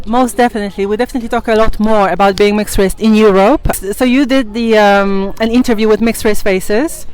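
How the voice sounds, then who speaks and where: Over music in the background, a woman speaks very fast at a fairly high pitch with hardly any pauses, fairly even intonation and very even loudness. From Poland. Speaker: YouTuber interviewer. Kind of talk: casual interview chat.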